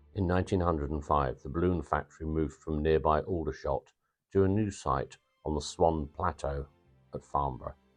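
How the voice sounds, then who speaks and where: Music plays in the background as a man with a very deep, low voice talks at a moderate pace with fairly even intonation. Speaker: aviation history video narrator. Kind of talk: documentary narration.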